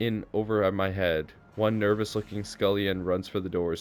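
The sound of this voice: The clip is an unforced reading voice with fairly even intonation.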